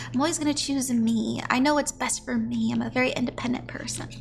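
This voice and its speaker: Noticeable background noise sits under this recording. The woman speaks at a fairly quick pace. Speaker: tarot reader. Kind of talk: tarot reading on stream. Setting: livestream. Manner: casual, chatty.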